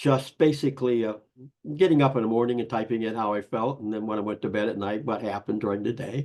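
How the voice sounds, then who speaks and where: At a very fast pace, a man speaks in a medium pitch with fairly even intonation. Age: 80s+. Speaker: author and grief speaker. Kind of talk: interview.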